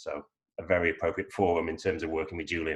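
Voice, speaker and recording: With an English accent, a man speaks in a somewhat breathy voice. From northern England, York. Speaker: lawyer. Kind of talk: panel discussion. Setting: video call.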